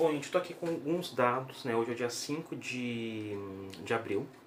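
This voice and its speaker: Medium in pitch, a man speaks with ordinary pitch variation. Audible room echo and noticeable background noise fill the recording. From Brazil. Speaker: YouTuber giving daily news updates. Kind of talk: informal video bulletin. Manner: slow, deliberate; hesitant with fillers.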